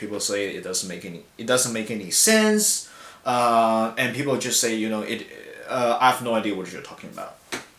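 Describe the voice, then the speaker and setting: Someone with a Chinese accent is heard over noticeable background noise, with audible echo in the room. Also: man. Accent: Mandarin Chinese accent in English. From China. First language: Mandarin. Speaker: language student. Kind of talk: class discussion video response. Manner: hesitant, many fillers.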